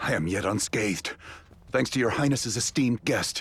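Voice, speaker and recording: Putting on a character voice, a man speaks at a medium pitch with lively intonation. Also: moderate pace. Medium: video game. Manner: formal.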